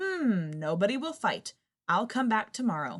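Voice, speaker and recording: A woman puts on a character voice at a fairly high pitch. Her pitch swings very widely at a moderate pace. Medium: read story. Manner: roaring, broken grammar.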